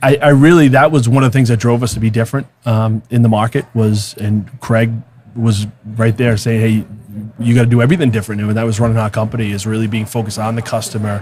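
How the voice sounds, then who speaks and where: A somewhat breathy voice talks at a very fast pace with fairly even intonation. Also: man, medium pitch for a man. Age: 30s. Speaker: real estate team leader. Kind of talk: podcast interview. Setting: conference venue. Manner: halting, many fillers.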